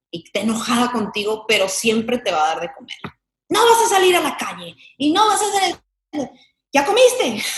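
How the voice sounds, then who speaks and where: This woman's voice sits high, with very wide pitch swings and big jumps in loudness. She talks at a moderate pace. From Mexican-American, grew up in Chicago. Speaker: actress. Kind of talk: casual interview chat.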